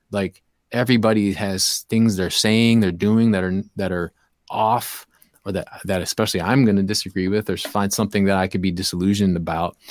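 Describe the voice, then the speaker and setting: A man with a Midwestern American accent speaks fairly quickly at a fairly low pitch, keeping his intonation fairly even. The recording is very clean with a silent background and a dry, close sound with no echo. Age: 40s. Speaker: hip-hop DJ and youth program leader. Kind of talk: casual interview chat.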